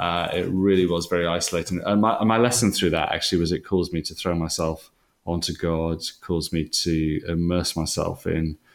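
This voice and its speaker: A man with a Welsh accent speaks at a fairly quick pace in a very deep, low voice, barely pausing, his intonation fairly even, on a very clean recording with a silent background. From Wales. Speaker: leadership organisation founder. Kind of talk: interview.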